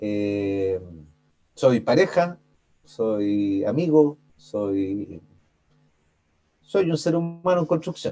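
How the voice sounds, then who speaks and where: Over music in the background, a man with a medium-pitched voice talks at a very slow pace, his pitch swinging very widely, with long, frequent pauses. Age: 40s. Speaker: life coach. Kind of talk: interview.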